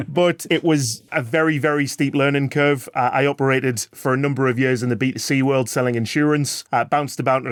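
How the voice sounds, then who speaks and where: A man talks in a northeast English accent. His pace is very fast. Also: very clean recording, silent background. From northeast England. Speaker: sales executive. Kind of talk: podcast interview. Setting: in-person recording.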